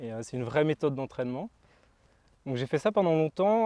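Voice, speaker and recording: Against a quiet background, a man with a fairly high pitch and a dark, mellow tone speaks with lively intonation. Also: dry, close sound with no echo. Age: 20s. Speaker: gardener and former reality TV contestant. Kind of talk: casual interview. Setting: outdoors.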